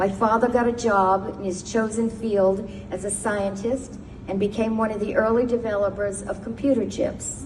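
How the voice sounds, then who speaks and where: Amid noticeable background noise and audible room echo, a woman with an American accent speaks at a moderate pace in a medium pitch with fairly even intonation. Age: 70s. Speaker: retired lawyer and memoir writer. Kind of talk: personal testimony speech. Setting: synagogue service. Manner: formal.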